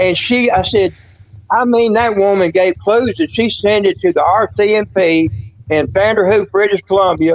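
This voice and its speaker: The man's pitch is high and his pace moderate. The sound is dry and close, with no echo. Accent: Southern US. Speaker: paranormal witness. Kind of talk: casual interview chat. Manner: rambling with fillers and restarts.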